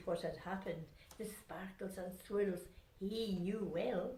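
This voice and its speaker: A woman speaks with a Scottish Highland accent. Her voice is somewhat breathy and her pace very slow. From Scotland. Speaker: grandmother storyteller. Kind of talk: children's rhyming story reading.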